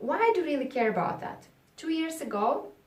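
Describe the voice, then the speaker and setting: A woman's voice comes with audible room echo. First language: not English. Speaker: public speaking coach. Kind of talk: tutorial. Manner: halting.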